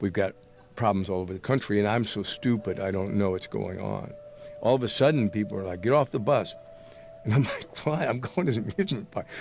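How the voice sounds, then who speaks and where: A man with an American accent talks at a fairly quick pace in a fairly low pitch with ordinary pitch variation. There is noticeable background noise. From US Midwest, Springfield, Illinois. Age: 70s. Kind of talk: casual chat. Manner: halting.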